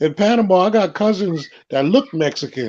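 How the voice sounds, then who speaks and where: This man has a New York accent, a high pitch, and lively intonation. He keeps a moderate pace against a quiet background. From Brooklyn, New York. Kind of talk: casual chat.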